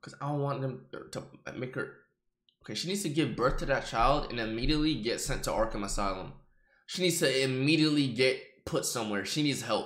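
Bright and sharp in tone, a man speaks fairly quickly with audible room echo over a quiet background. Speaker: livestreamer. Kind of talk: live reaction commentary. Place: home room. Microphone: earbuds.

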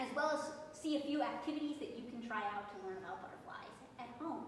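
Amid light background noise and audible room echo, a woman talks at a fairly quick pace. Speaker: garden educator. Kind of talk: lecture. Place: classroom. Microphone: phone near.

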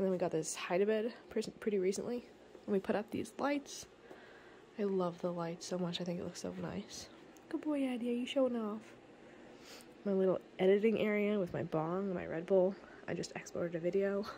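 At a moderate pace, a woman with a dark, mellow tone leaves long, frequent pauses over light background noise. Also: medium pitch for a woman, ordinary pitch variation. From Canada. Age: 20s. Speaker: vlogger. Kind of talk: casual home tour vlog. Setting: at home. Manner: casual, chatty. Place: home room. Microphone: phone near.

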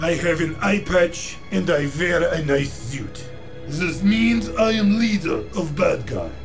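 A man's put-on character voice, high-pitched and gravelly, at a fairly slow pace over loud music in the background. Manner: menacing.

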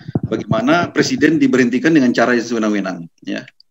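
Over loud background noise, a man talks at a very fast pace with lively intonation. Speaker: constitutional law expert; panelist. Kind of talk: webinar talk. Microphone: webcam.

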